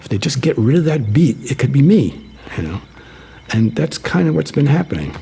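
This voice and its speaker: Against noticeable background noise, a man of medium pitch talks at a fairly quick pace with very wide pitch swings. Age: 60s. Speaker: electronic musician. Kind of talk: interview. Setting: radio studio. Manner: halting, with fillers and repetitions.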